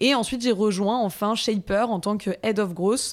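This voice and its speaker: Using an unremarkable speaking voice, a woman talks at a medium pitch with ordinary pitch variation. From Paris, France. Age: 30s. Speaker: marketing director. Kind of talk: interview.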